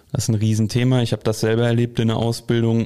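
This man has a dark, mellow tone and a medium pitch. He speaks at a moderate pace. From Ruhr area, Germany, near Sauerland. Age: 20s. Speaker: hunting travel coordinator, shotgun expert. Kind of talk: casual chat.

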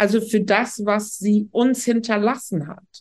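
A somewhat breathy woman speaks at a very slow pace. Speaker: professor and sociologist. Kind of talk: interview.

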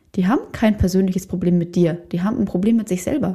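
A woman speaks at a medium pitch. Her voice is somewhat breathy with a dark, mellow tone. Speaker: podcast host and photographer/coach. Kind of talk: solo podcast monologue.

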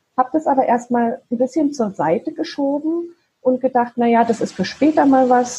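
In a dark, mellow tone, a woman speaks at a moderate pace with ordinary pitch variation. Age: 40s. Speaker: virtual assistant and side-business founder. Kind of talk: interview. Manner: halting, many fillers.

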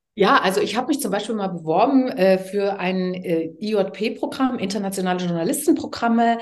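A woman speaks with lively intonation and hardly any pauses, amid noticeable background noise and audible room echo. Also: medium pitch for a woman, moderate pace. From East Germany, Leipzig. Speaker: TV presenter and communication coach. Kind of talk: casual interview. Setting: garden.

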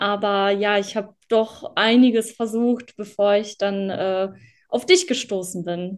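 A woman delivers her words very slowly, with a medium pitch and fairly even intonation. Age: 20s. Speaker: former client sharing success story. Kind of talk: interview testimony.

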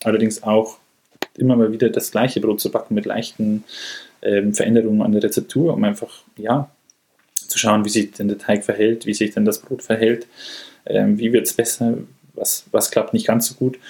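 Long, frequent pauses from a man talking at a moderate pace. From Bavaria, northern Munich area. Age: 30s. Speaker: baker apprentice. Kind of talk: casual interview chat.

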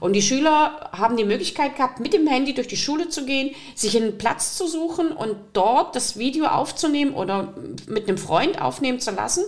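A woman's high voice with very wide pitch swings, at a moderate pace, over noticeable background noise. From Saxony, eastern Germany (Riesa). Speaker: podcast host, teacher. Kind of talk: interview.

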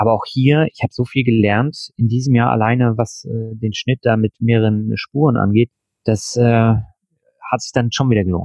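Moderate pace from a man at medium pitch, fairly even in intonation. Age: 40s. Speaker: finance podcaster and blogger. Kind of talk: interview.

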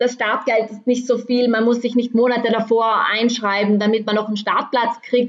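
This woman has a plain, everyday voice pitched fairly high. Her words come at a moderate pace. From South Tyrol, Meran area. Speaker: trail runner. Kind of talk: casual interview.

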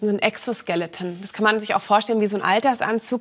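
Speaking at a very fast pace, a woman shows ordinary pitch variation. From Berlin, Germany. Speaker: analog astronaut, scientist. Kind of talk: talk show interview.

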